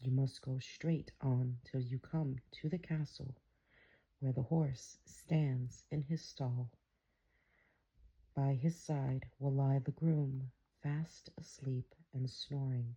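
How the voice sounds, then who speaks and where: The speaker is soft-spoken and calm, talking at a very slow pace. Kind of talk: fairy tale reading, ASMR bedtime story. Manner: soft-spoken, calm.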